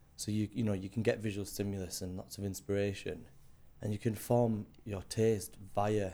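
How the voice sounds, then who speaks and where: Speaking at a moderate pace, a man with a Cumbrian accent has a fairly low pitch and a dark, mellow tone. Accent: northern English, northwest Cumbrian. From Cumbria, northern England. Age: 30s. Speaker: illustrator and designer. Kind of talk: casual interview chat. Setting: recording in a townhouse.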